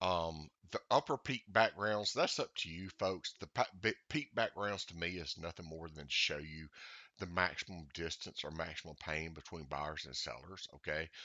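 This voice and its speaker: Speaking with a Southern US accent, a man has a very deep, low pitch. His loudness swings widely, and his pitch varies in an ordinary way. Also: moderate pace. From US South. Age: old. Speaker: trading indicator developer. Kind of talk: tutorial. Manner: casual, halting with many fillers.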